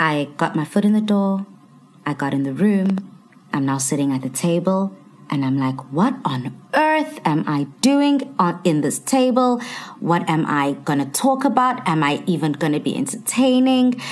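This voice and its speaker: Over noticeable background noise, a woman with a fairly low pitch talks at a moderate pace while her pitch swings very widely. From South Africa, Durban. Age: 20s. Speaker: TV presenter. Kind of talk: casual chat.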